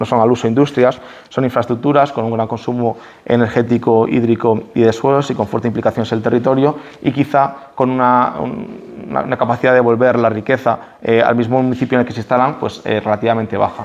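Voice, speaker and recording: This man's pitch sits in the medium range while he talks very fast. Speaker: speaker at a public talk. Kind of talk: public talk. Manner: halting.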